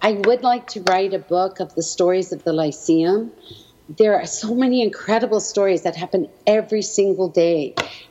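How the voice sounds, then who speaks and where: A woman's medium-pitched voice with a Canadian accent, moderate pace and ordinary pitch variation, over noticeable background noise. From Canada, Edmonton, Alberta. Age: 60s. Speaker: educator and small business owner. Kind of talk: interview.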